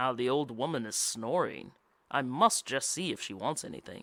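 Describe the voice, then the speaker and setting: A man's put-on character voice at a medium pitch, with lively intonation, a moderate pace and a very clean recording over a silent background. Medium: read story.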